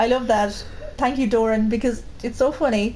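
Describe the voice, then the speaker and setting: With a strong Irish Midlands accent, a woman talks fairly quickly in a flat monotone, with audible room echo around her. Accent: strong Midlands Irish, boggy. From Ireland, Midlands, County Laois. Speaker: co-host of gaming stream. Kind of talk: casual chat.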